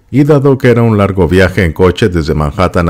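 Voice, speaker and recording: This man's fairly low voice swings very widely in pitch as he talks at a fairly quick pace. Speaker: video narrator reading an article. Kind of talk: literary audiobook reading of a first-person memoir article. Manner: measured, smooth, descriptive storytelling pace.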